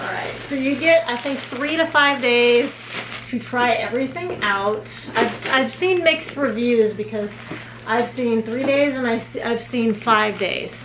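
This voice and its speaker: Over noticeable background noise, a woman speaks at a fairly slow pace in a high pitch with ordinary pitch variation. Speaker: vlogger. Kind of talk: casual vlog chat. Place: home room.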